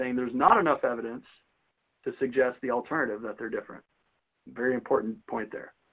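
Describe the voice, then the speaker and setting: A man at a very fast pace, with long, frequent pauses and big swings in loudness. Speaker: statistics instructor. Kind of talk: lecture.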